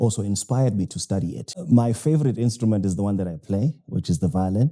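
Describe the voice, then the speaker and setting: A man speaks in a South African accent at a moderate pace, with a fairly low pitch and ordinary pitch variation. His tone is dark and mellow, and the recording is very clean with a silent background. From South Africa, KwaZulu-Natal. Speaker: jazz violinist and pastor. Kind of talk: interview. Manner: hesitant, many fillers.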